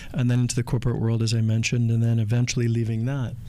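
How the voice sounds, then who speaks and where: This is a man speaking at a medium pitch. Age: 60s. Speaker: spiritual speaker, podcast co-host. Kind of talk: casual chat. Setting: in Bali.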